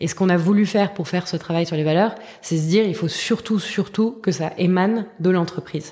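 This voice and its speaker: In an ordinary speaking voice, a woman talks at a fairly quick pace with medium pitch and ordinary pitch variation. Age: 30s. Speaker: education startup co-founder. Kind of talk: interview. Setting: at her school's premises.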